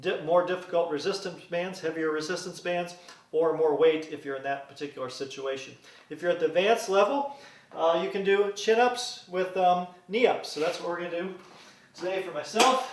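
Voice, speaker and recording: A high-pitched man with ordinary pitch variation, plus audible room echo and noticeable background noise. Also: moderate pace. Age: 50s. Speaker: fitness instructor. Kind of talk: workout tutorial. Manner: casual, with frequent uh fillers.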